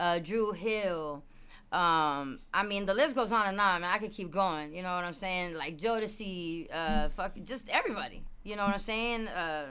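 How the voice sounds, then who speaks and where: A woman speaks at a moderate pace with a medium pitch and ordinary pitch variation. Her tone is bright and sharp, and room echo is audible. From Puerto Rico. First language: Spanish. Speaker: singer and rapper. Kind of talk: interview. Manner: casual, filler-heavy.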